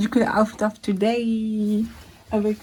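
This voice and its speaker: A woman's fairly high voice comes through over noticeable background noise. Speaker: vlogger. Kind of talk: casual vlog chat. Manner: mixes French with English.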